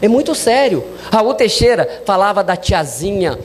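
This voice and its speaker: There's audible room echo and noticeable background noise. Through it, a man speaks with lively intonation. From Minas Gerais, Brazil. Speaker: spiritist lecturer. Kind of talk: lecture.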